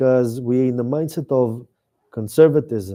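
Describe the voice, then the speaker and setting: With an Israeli accent, a man speaks at a fairly high pitch and a fairly slow pace. His tone is dark and mellow. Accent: Israeli Hebrew. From Israel, Tel Aviv area. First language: Hebrew. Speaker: author and activist. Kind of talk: talk with audience Q&A. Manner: halting, searching for English words.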